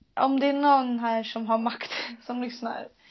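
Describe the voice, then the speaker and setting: Delivery is fairly slow. The intonation remains fairly even. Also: woman. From Sweden. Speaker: podcast host. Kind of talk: casual chat.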